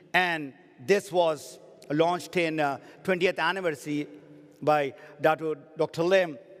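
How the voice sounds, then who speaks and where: A man with a Pakistani accent at a moderate pace, using ordinary pitch variation. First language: Urdu. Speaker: network marketing trainer. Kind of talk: motivational seminar talk.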